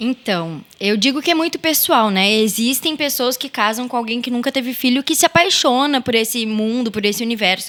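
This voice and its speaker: Speaking at a moderate pace with hardly any pauses, a woman uses a high pitch and lively intonation over noticeable background noise. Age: 20s. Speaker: mother and stepmother sharing her story. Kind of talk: podcast interview.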